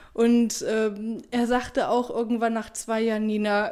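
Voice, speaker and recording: A woman with a normal speaking voice talks at a moderate pace and a fairly high pitch. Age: 30s. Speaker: former nurse. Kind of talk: interview.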